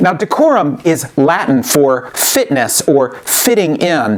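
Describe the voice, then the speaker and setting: A man's voice with lively intonation over noticeable background noise. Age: 60s. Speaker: author and rhetoric teacher. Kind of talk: educational commentary.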